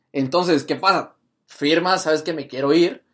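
Over a quiet background, a man with an unremarkable speaking voice talks at a moderate pace with ordinary pitch variation. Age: 20s. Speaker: podcast host. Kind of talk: casual chat.

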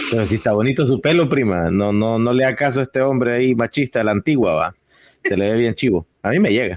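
A man talks very fast at medium pitch, with ordinary pitch variation and very even loudness. The sound is dry and close, with no echo. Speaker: podcast host. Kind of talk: casual chat.

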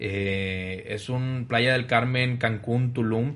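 The man's voice has a medium pitch. It rises and falls in an ordinary way. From Monterrey, northern Mexico. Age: 20s. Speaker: family business executive. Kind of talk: podcast interview. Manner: hesitant, many fillers.

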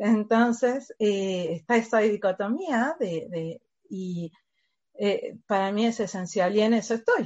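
The woman speaks very slowly. Her voice is fairly high, and its pitch shifts in an ordinary way. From Uruguay. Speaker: education company staff member. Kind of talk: interview.

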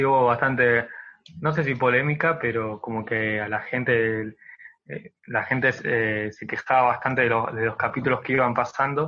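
A man with an unremarkable speaking voice, medium in pitch, at a moderate pace with fairly even intonation. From Argentina, Buenos Aires province. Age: 20s. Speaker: social media content creator. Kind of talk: interview.

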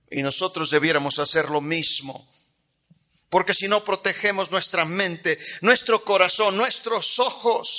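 A man's raised, projected voice, bright and sharp in tone, with lively intonation at a fairly slow pace. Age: 50s. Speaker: pastor. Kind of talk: sermon.

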